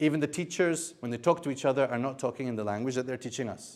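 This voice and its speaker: Here a man speaks with a non-native accent at medium pitch. His pitch variation is ordinary, and the recording is very clean with a silent background. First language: not Arabic. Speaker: Quran scholar and translator. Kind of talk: lecture. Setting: university seminar with audience.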